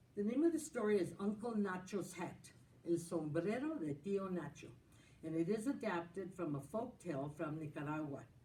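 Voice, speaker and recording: A woman with a fairly low, dark and mellow voice, somewhat breathy, speaks at a moderate pace with lively intonation. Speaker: school storytelling host. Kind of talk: introduction to children's story session. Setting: council chambers.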